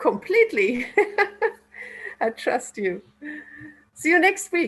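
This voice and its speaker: With music in the background, someone speaks at a very slow pace with a German accent. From Germany. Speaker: workshop participant. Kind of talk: feedback in group discussion. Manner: halting.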